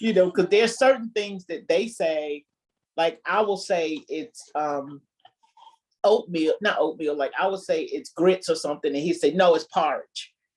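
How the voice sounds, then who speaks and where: A woman's medium-pitched voice with a Southern US accent, lively intonation and a moderate pace. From US South. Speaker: married guest on relationship show. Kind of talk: casual interview chat.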